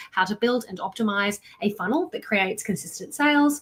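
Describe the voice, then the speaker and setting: A woman with an Australian accent and a fairly high pitch. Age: 30s. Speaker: marketing coach. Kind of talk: live online workshop. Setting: livestream. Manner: animated.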